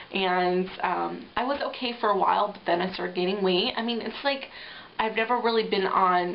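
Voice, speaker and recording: A woman with an American accent talks at a moderate pace and medium pitch with ordinary pitch variation, with audible room echo and noticeable background noise. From upstate New York. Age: 20s. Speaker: reality show applicant. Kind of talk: audition video monologue. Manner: rambling, hesitant with fillers.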